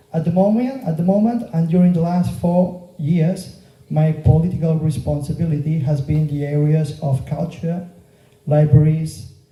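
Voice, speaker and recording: At a moderate pace, a man with a Catalan Spanish accent speaks at a fairly high pitch in a dark, mellow tone, with ordinary pitch variation. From Mallorca, Spain. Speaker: local politician and teacher. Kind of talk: political campaign speech. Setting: meeting room with audience. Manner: halting, with fillers.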